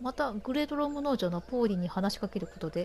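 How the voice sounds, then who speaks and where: Her voice fairly high, a woman speaks with lively intonation. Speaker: game streamer. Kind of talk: let's play commentary.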